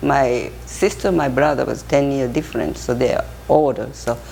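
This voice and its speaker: Someone with a Japanese accent speaks at a moderate pace against noticeable background noise. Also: woman. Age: 70s. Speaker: interviewee. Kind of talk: life story interview. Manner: halting.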